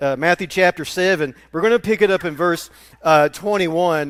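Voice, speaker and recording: In a Southern US accent, the speaker uses ordinary pitch variation on a very clean recording with a silent background. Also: man. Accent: Southern US, noticeable today. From US South. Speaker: pastor. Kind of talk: sermon. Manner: halting, many fillers and repeats.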